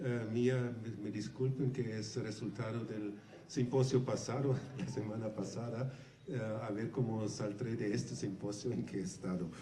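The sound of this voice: A hoarse man speaks at a moderate pace with few pauses, in a fairly low pitch and a dark, mellow tone. His intonation is fairly even, and room echo is audible.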